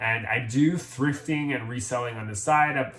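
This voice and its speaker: Against noticeable background noise, a man with an American accent speaks at a moderate pace, his medium pitch showing ordinary variation. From Jamaica, Montego Bay. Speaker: thrift reseller and military medical worker. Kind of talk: casual vlog introduction.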